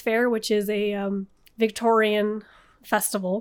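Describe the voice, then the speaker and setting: Recorded very cleanly against a silent background, a woman with a normal speaking voice talks at a fairly slow pace in a fairly high pitch. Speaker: guest storyteller. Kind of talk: casual storytelling.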